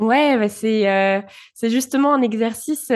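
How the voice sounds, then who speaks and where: A woman's fairly high voice, with ordinary pitch variation, comes through over a quiet background. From France, early childhood in Bulgaria. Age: 20s. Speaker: podcaster. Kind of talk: interview. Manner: hesitant, many fillers.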